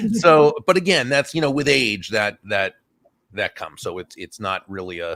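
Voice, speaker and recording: The voice has a bright, sharp tone with vocal fry and very wide pitch swings. It moves at a moderate pace with big swings in loudness, in a dry, close sound with no echo. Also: man, medium pitch for a man. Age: 60s. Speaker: business author and speaker. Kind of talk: casual interview chat.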